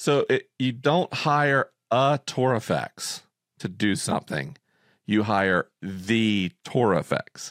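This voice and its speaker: In an American accent, a man with a medium pitch and lively intonation talks at a very slow pace, the sound dry and close with no echo in a very clean recording with a silent background. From Florida. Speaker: podcast host. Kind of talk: casual chat.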